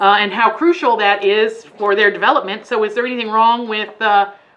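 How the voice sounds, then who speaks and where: This woman has an American accent and a fairly high pitch. She talks at a fairly quick pace over noticeable background noise. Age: 40s. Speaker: preschool teacher trainer. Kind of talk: teacher training workshop. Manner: casual, halting with fillers.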